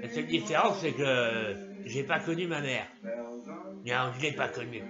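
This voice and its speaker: Over noticeable background noise and audible room echo, a man speaks at a fairly slow pace and medium pitch with very wide pitch swings. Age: 70s. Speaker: vlogger. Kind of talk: comedic monologue.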